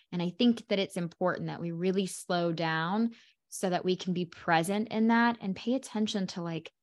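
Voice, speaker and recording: An ordinary speaking voice, a woman's, comes at medium pitch in an American accent, moving at a moderate pace with ordinary pitch variation over a quiet background. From Oklahoma. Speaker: podcast host, business coach. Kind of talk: interview.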